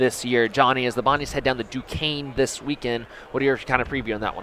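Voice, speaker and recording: With an upbeat tone, a man speaks at a very fast pace against noticeable background noise. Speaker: student radio host. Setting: radio studio broadcast live from a busy Radio Row. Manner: upbeat, chatty, fast-moving, with fillers like 'uh' and 'um'.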